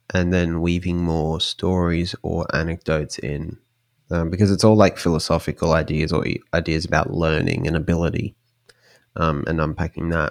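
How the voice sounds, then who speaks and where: A quiet man speaks at a moderate pace in a very deep, low voice with monotone, flat intonation. The recording is very clean, with a silent background and a dry, close sound with no echo. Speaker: indie podcaster. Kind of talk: casual interview conversation.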